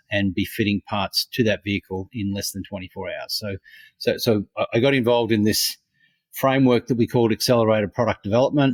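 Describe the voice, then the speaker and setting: Fairly quick speech in an Australian accent, dry and close with no echo, on a very clean recording with a silent background. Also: man. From Australia, Brisbane. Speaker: innovation consultant. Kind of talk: interview. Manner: halting, many fillers.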